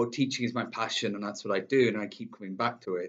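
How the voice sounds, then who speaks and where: A man talks with a Manchester accent. His pitch varies in an ordinary way. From northern England, Manchester. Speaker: English teacher. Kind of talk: self-introduction video. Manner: hesitant, many fillers.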